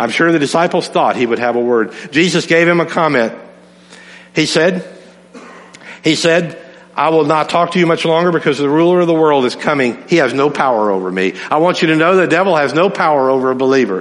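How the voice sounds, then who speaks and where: Audible room echo surrounds a man's fairly high voice, which holds very even loudness. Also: ordinary pitch variation, fairly quick pace. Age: 60s. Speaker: pastor. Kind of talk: sermon.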